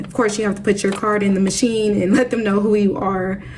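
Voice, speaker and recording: Noticeable background noise and audible room echo surround a woman of medium pitch. She talks at a fairly quick pace in a monotone, flat delivery. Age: 30s. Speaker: budgeting vlogger. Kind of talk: casual vlog talk to camera.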